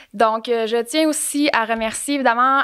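A woman speaks with a Quebec accent. Her intonation stays fairly even over a quiet background. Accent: Québécois French. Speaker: podcast host. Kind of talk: scripted narration; casual chat. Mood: warm, friendly. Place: studio. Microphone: studio mic.

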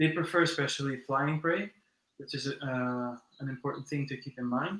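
Fairly even intonation comes through with audible room echo. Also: man. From mixed: born in US to Brazilian parents, long in Spain. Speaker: insect keeper and animal content creator; animal content creator. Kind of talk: casual live stream chat. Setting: live stream from home at midnight. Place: home room. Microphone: video call.

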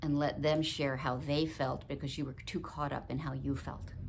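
Over light background noise, a woman speaks at a very deep, low pitch with vocal fry. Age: 70s. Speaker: video blogger. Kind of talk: personal vlog talk. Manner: warm, chatty. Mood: emotional, reflective. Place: home room. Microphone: phone near.

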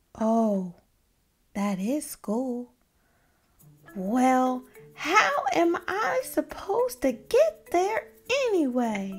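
A woman's put-on character voice, high in pitch, at a very slow pace with long, frequent pauses over faint background music. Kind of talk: read-aloud character voice. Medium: read story. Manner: whiny, dramatic, worrying.

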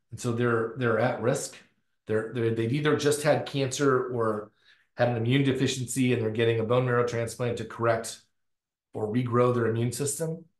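Over a quiet background with audible room echo, a man speaks at moderate pace with monotone, flat intonation. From US South, North Florida. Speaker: professor, circadian biologist; professor. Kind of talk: lecture. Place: office. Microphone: webcam.

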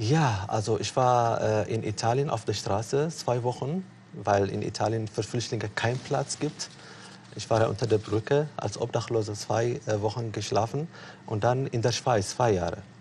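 Somewhat breathy, a man speaks at a fairly slow pace. His medium pitch shows ordinary variation. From Eritrea. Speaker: refugee and author. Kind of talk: interview on TV talk show. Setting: TV studio. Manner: hesitant, many fillers.

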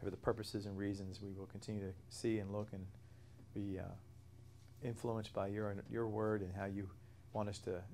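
Over light background noise, a man speaks in a monotone, flat way at a moderate pace and fairly low pitch, with long, frequent pauses. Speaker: bible study teacher. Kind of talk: prayer then lecture. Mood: calm, reverent. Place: church. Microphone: lapel.

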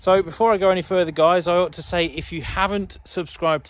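The man's speech moves along at a fairly quick pace. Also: dry sound with no echo. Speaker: presenter. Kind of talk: casual vlog chat. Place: open country. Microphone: phone near.

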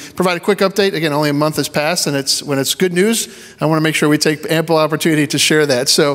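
Hardly pausing, a man races along at a very fast pace with very even loudness and fairly even intonation. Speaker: church staff member giving a finance report. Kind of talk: congregational meeting report. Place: church. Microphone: handheld.

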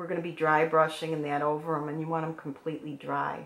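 Amid noticeable background noise, a woman speaks at a very deep, low pitch. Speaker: decorative painting instructor. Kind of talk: tutorial. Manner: conversational, relaxed.

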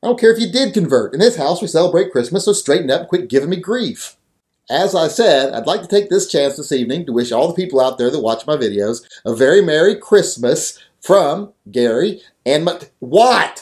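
Over a quiet background, a high-pitched man speaks at a fairly quick pace, his pitch swinging very widely. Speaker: channel host. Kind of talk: comedic skit monologue. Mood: exasperated, scolding. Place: studio.

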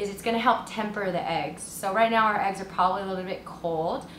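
A woman speaks at a fairly quick pace with audible room echo and light background noise. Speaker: home cook host. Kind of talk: cooking tutorial. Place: kitchen.

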